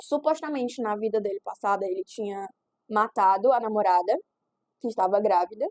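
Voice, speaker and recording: Her fairly high pitch and ordinary pitch variation come through with a dry, close sound with no echo as this woman speaks. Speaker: book YouTuber. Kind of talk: casual book review vlog. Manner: fast; animated.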